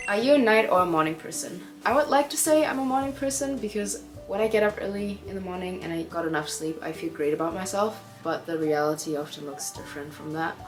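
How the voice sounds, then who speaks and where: Over music in the background, a woman with a German accent talks very fast at medium pitch, her voice making very wide pitch swings. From Germany, Hamburg. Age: 20s. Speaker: singer and content creator. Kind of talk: Q&A talk to camera.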